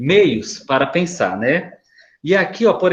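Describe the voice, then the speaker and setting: Pitched fairly high for a man, a normal speaking voice carries lively intonation. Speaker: school staff presenting to parents. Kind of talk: presentation to parents in online meeting.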